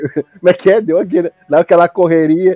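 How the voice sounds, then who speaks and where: In a Gaúcho Brazilian accent, a man speaks with a dark, mellow tone in a dry, close sound with no echo. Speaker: podcast host. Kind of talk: casual chat.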